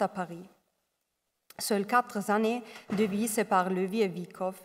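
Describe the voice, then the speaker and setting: The delivery is fairly slow, and the intonation stays fairly even. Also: woman. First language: not French (speaking French). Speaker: doctoral researcher, art history. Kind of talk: academic lecture.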